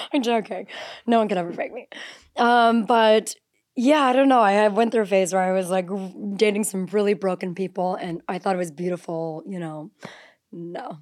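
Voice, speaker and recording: A woman with a normal speaking voice talks at a medium pitch and moderate pace with ordinary pitch variation. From northern Ontario, Canada. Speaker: reality TV personality and content creator. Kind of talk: casual chat.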